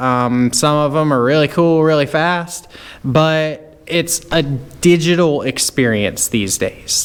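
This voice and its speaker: A man with a Southern US accent speaks at a fairly high pitch with ordinary variation. Noticeable background noise is heard. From US South, rural North Carolina. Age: 30s. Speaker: car YouTuber and mechanic. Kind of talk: casual rant to camera. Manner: casual, hesitant with fillers.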